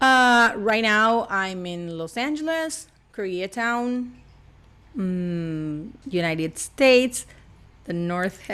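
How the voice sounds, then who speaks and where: Very slow speech from a woman with an Argentine accent, fairly high in pitch, bright and sharp in tone, lively in intonation, over a quiet background. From Argentina. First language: Spanish. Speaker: actress and voice actress. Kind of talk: casual interview chat. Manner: animated.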